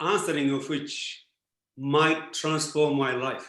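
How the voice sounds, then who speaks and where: A man with a Japanese accent, fairly high in pitch and bright and sharp in tone, at a fairly slow pace amid audible room echo. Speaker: philosopher. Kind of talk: Q&A answer in online talk.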